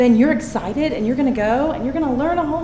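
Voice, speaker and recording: A high-pitched woman's voice with a Tennessee accent and very wide pitch swings, with audible room echo and noticeable background noise. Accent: Southern US (Tennessee). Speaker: teacher. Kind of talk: public comment at a meeting. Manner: animated.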